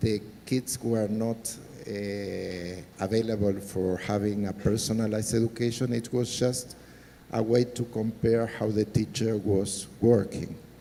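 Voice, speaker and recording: The man's voice is fairly low-pitched and flat, in a monotone. He speaks fairly slowly over noticeable background noise. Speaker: government technology official. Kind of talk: panel discussion.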